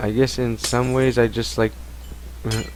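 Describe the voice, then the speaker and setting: Background noise is noticeable here. The voice is a man's. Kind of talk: casual Q&A talk to camera. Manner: rambling, mumbling at times.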